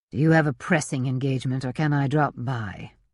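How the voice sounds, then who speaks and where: Over a quiet background, a man uses a put-on character voice, growling at a medium pitch and a fairly quick pace. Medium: read story. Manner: curt, abrupt.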